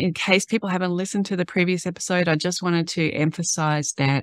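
Recorded with a dry sound and no echo, a woman speaks at a fairly quick pace. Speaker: podcast host. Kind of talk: podcast introduction talk.

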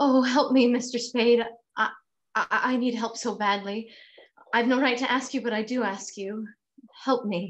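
Putting on a character voice, a woman speaks breathily at a high pitch and a moderate pace, with long, frequent pauses. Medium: audio drama. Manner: breathy, pleading, dramatic.

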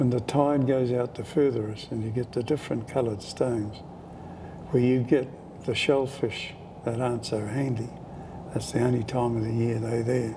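Over noticeable background noise, a man speaks at a moderate pace in a monotone, flat intonation. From New Zealand, Taranaki; New Zealand. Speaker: Maori elder; interviewee. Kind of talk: oral history interview. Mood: warm, calm. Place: home room.

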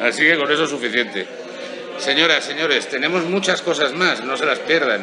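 There is noticeable background noise behind a man with a fairly high pitch. He talks at a fairly quick pace with ordinary pitch variation. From Spain. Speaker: golf show host. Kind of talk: interview. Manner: animated. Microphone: handheld.

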